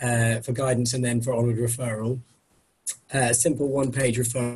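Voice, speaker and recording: Speaking with an English accent, a man has a medium pitch and a somewhat breathy voice. He moves at a fairly quick pace with very even loudness and monotone, flat intonation. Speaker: doctor. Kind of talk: webinar presentation. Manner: hesitant, many fillers.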